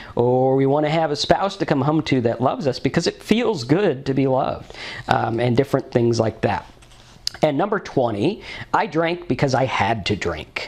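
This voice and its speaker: Here a man speaks in a fairly high pitch with lively intonation. His tone is animated and his pace moderate. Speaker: sober living vlogger, recovering alcoholic. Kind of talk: personal testimony monologue.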